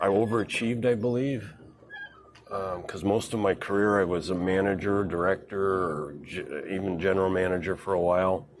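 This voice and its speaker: Noticeable background noise surrounds a man who speaks at a moderate pace with a fairly low pitch and ordinary pitch variation. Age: 60s. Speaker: boating and fishing livestreamer. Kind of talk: casual monologue on a livestream. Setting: on a boat outdoors. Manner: halting, many fillers.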